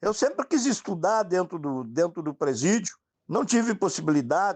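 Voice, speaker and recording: Lively intonation runs through delivery that is neither rushed nor slow. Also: man. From southern Brazil, Rio Grande do Sul interior. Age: 60s. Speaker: former prisoner. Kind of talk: interview testimony.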